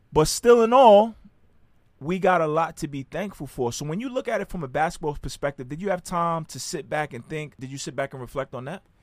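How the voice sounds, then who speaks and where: With an ordinary speaking voice, a man talks at a fairly quick pace and a fairly high pitch with lively intonation, in a very clean recording with a silent background. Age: 30s. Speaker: podcast host and army veteran. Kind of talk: casual chat.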